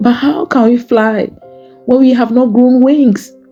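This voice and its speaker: Music is heard behind the voice. A woman speaks fairly slowly over it. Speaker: poet. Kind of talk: spoken word poetry reading; prayer poem.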